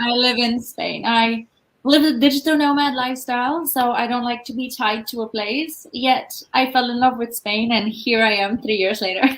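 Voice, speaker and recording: The delivery keeps a moderate pace with fairly even intonation and hardly any pauses. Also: woman, high pitch for a woman. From Malta. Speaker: business coach. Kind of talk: interview.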